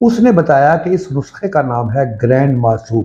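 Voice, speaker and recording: A man's somewhat breathy voice sits at a fairly high pitch and has a dark, mellow tone. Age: 70s. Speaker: agriculture expert and health channel host. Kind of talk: informal talk to camera.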